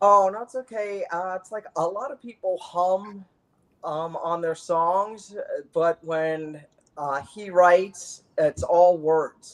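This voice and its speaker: Her loudness swinging widely, a woman speaks very slowly at a medium pitch. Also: ordinary pitch variation. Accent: American. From Arizona. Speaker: musician, drummer. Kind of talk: casual interview chat. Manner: halting, repeated syllables.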